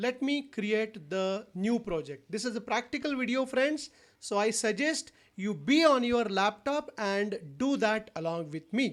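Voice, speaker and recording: The delivery is fairly slow on a very clean recording with a silent background. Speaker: software tutorial instructor. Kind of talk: tutorial.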